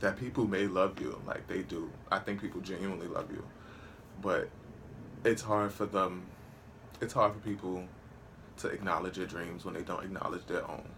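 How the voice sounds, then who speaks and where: Using an American accent, a man speaks at a moderate pace and a fairly low pitch, with monotone, flat intonation and long, frequent pauses. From New York City. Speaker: vlogger and singer. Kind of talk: casual monologue vlog. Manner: halting, repeats words.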